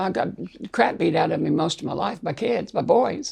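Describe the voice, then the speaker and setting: Using vocal fry, a woman with a medium pitch speaks at a fairly slow pace with very wide pitch swings. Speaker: interviewee sharing life story. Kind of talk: interview.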